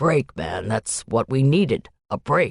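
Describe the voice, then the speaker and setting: Using a growling, put-on character voice at a medium pitch, a man speaks at a fairly slow pace in a dry, close sound with no echo. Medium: read story. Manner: brisk.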